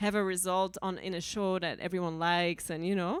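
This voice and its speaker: A woman with a Dutch accent speaks at a fairly quick pace in a medium pitch, on a very clean recording with a silent background. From Belgium. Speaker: singer-songwriter. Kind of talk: talk to a small audience. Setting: live event with audience. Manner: casual, animated.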